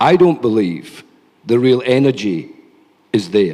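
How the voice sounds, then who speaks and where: The voice has a dark, mellow tone and lively intonation, with a Scottish accent. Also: man. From Scotland. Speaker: think tank policy lead, panelist. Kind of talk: conference panel talk. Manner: animated.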